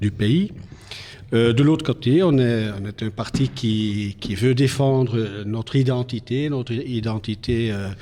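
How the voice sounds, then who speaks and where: Using a Flemish accent, a man with a dark, mellow tone speaks at a very slow pace. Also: medium pitch for a man, ordinary pitch variation. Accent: Flemish Dutch accent in French. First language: Dutch (speaking French). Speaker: politician. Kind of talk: TV interview. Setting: TV studio. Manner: halting, many hesitations.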